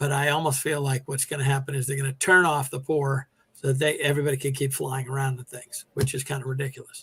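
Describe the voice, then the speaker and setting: A man with an American accent talks very fast with hardly any pauses in a fairly high, monotone, flat voice. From New York. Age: 60s. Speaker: retired teacher. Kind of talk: interview. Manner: conversational, with fillers.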